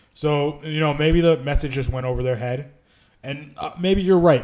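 A man with an ordinary speaking voice at a fairly quick pace, ordinary pitch variation, and a very clean recording with a silent background. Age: 30s. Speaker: podcast co-host. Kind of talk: casual chat.

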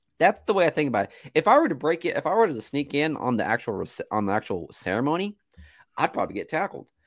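A man talks very fast with a fairly high pitch, very wide pitch swings and vocal fry, recorded with a dry, close sound and no echo. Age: 20s. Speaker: movie podcast co-host. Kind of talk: casual chat. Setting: video call.

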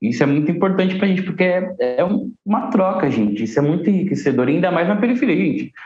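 With audible room echo, a high-pitched man talks at a very fast pace, his pitch swinging very widely while his loudness stays very even. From Guarulhos, São Paulo, Brazil. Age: 20s. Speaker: saxophonist and cultural manager. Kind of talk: podcast interview.

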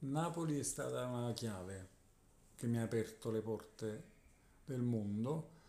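This man speaks at a medium pitch with ordinary pitch variation and a dark, mellow tone, leaving long, frequent pauses. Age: 40s. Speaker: guitarist. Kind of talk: casual interview.

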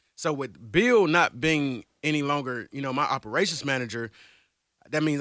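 A man with an American accent talks very fast in a fairly high, bright, sharp voice with ordinary pitch variation, the sound dry and close with no echo. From Georgia, US South. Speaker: radio personality. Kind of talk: casual interview, storytelling.

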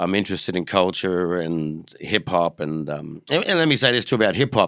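A man's lively intonation and fairly quick pace come through on a very clean recording over a silent background. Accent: Australian. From Australia, Brisbane. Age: 40s. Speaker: graffiti artist and record retailer. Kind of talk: casual chat. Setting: studio.

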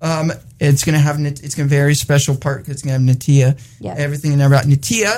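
A man's fairly high, somewhat breathy voice at a very fast pace, with ordinary pitch variation. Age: 20s. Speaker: online radio show co-host. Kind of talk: casual chat. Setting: studio.

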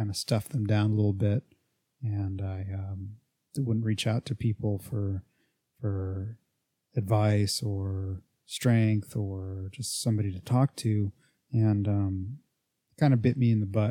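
Somewhat breathy, with a dark, mellow tone, a man speaks at a fairly slow pace with long, frequent pauses and fairly even intonation on a very clean recording with a silent background. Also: fairly low pitch for a man, dry, close sound with no echo. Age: 30s. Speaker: fitness podcast host and coach. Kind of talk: casual solo monologue. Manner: hesitant, many fillers.

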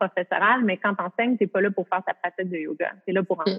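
Over music in the background, a speaker with a Quebec accent talks at a fairly quick pace with ordinary pitch variation. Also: woman. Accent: Québécois French. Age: 30s. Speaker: yoga teacher. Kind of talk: casual interview.

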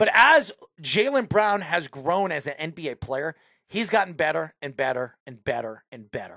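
A man with an American accent speaks at a moderate pace in a fairly high, bright and sharp voice, his animated tone marked by very wide pitch swings and big swings in loudness. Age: 40s. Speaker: sports radio host. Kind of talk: casual sports talk show.

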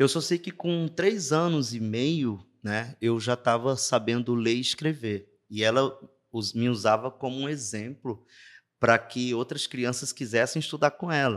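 A man's fairly slow delivery in an ordinary speaking voice, with ordinary pitch variation. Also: medium pitch for a man, very clean recording, silent background. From Brazil, interior of Ceará (Juazeiro do Norte). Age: 40s. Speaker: navy non-commissioned officer. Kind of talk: interview storytelling.

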